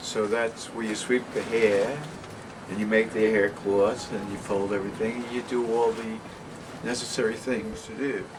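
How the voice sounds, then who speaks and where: With noticeable background noise behind him, a man talks in a New York accent at a medium pitch. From New York (Westchester/Bronx border). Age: 70s. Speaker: artist. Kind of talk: interview, life story. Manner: casual, rambling.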